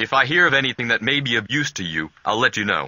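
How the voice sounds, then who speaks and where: Talking at a very fast clip, a man uses a put-on character voice at a medium pitch. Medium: video game. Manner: polite, earnest.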